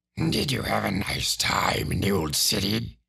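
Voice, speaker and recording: In a put-on character voice, a man growls at a fairly low pitch. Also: moderate pace. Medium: read story. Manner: whining, placating.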